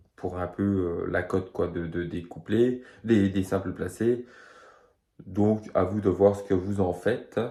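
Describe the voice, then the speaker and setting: A man's dark, mellow voice at a fairly low pitch, at a very slow pace with fairly even intonation. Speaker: horse racing tipster. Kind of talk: betting tips video; casual personal story. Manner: hesitant, many fillers.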